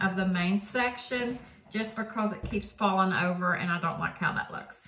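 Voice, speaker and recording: A woman talks in a room with audible echo and light background noise. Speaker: product reviewer. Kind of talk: casual vlog chat. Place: home room. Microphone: phone near.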